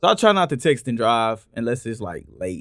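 At a medium speed comes an unremarkable speaking voice. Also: man, very clean recording, silent background. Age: 30s. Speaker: podcast host. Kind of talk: casual chat.

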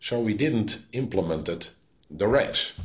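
At a very slow pace, a man with a Dutch accent speaks in a somewhat breathy voice. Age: 60s. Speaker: police innovation executive. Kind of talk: interview. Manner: halting.

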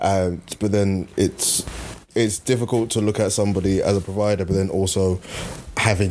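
A man speaks at a moderate pace and a fairly low pitch with fairly even intonation. Noticeable background noise runs underneath. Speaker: podcast co-host. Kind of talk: casual chat.

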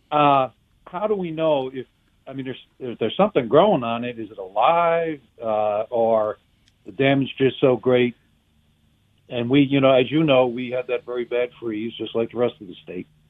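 An unremarkable speaking voice from a man, ordinary in pitch variation, with big swings in loudness. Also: medium pitch for a man, moderate pace. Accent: American. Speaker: caller. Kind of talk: casual chat. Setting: phone call.

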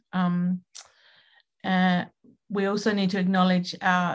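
Against a quiet background, a woman speaks fairly slowly at a medium pitch, her voice somewhat breathy. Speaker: artist and academic. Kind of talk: lecture. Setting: video call.

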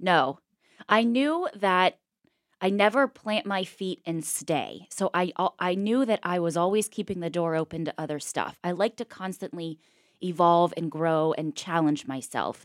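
A woman with an American accent speaks at a fairly slow pace, her pitch fairly low with ordinary variation. She has an ordinary speaking voice, heard in a dry, close recording with no echo. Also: very clean recording, silent background. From Pittsburgh, Pennsylvania. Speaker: former TV news reporter. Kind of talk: interview conversation.

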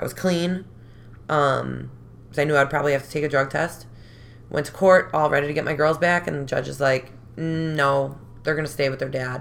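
Speaking fairly quickly but with long, frequent pauses, a woman with an American accent has a very deep, low pitch, vocal fry and fairly even intonation. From Chicago, North Side. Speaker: recovering addict. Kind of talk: testimony.

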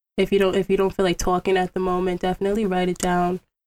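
Soft-spoken and flat in intonation, the voice carries an American accent in a dry, close recording with no echo. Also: woman. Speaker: podcast host. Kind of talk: casual chat.

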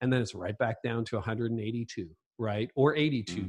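A normal speaking voice at a moderate pace, ordinary pitch variation, quiet background. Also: man. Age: 50s. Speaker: leadership author and podcaster. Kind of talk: casual interview chat.

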